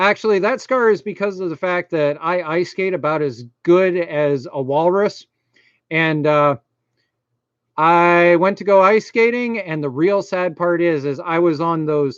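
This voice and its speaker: Against a quiet background, a man talks in a strong Maine accent. His pitch is high and his pace fairly slow. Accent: thick Maine. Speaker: YouTuber, computer repair. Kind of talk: live stream chat. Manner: casual, filler-heavy.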